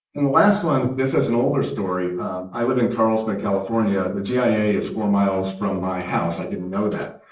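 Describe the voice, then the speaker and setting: A man with an American accent, fairly low in pitch, at a fairly quick pace with hardly any pauses, ordinary pitch variation, and noticeable background noise. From Canada. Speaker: tech company founder and CEO. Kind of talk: conference keynote speech.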